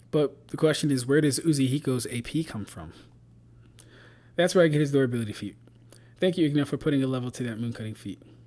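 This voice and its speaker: A man's dark, mellow voice, fairly high in pitch, with ordinary pitch variation, big swings in loudness, long and frequent pauses, and a very fast pace. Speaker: streamer analyzing anime power-scaling debates. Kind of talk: casual live stream chat. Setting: live stream. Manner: occasional stutter when rushing.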